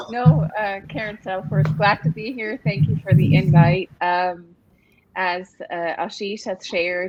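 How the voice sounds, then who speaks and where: A woman with a Swiss accent, medium-pitched, at a fairly slow pace with ordinary pitch variation. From Switzerland. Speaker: staffing industry executive, panelist. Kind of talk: panel discussion.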